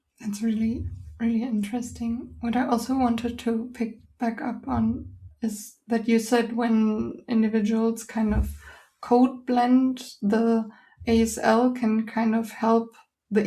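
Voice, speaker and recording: With a German accent, a woman speaks at a fairly slow pace in a fairly high, somewhat breathy voice with a dark, mellow tone. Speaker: podcast host. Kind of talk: interview.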